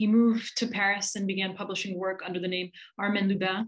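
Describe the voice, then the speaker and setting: Against a quiet background, a woman speaks very fast at medium pitch in a monotone, flat way. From New Jersey. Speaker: poetry reader; presenter. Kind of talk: introduction at a reading. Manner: halting, repeats words. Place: home room. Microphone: webcam.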